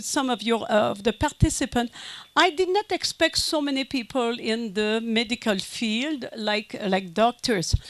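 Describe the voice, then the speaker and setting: Amid noticeable background noise, a woman with a French Canadian accent talks at a fairly slow pace with very wide pitch swings. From Quebec. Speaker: conference speaker. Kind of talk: lecture. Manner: halting.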